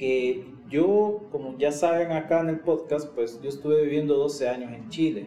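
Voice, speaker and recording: Through audible room echo and noticeable background noise, a man speaks at a fairly slow pace with a fairly high pitch and ordinary pitch variation. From El Salvador. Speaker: podcast co-host. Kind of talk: casual chat.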